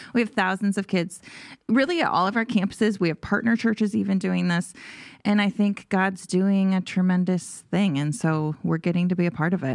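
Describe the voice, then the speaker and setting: This is a normal speaking voice at a fairly quick pace, with very even loudness and ordinary pitch variation, on a very clean recording with a silent background. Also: woman, medium pitch for a woman. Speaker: church staff and podcast co-host. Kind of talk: casual Bible discussion.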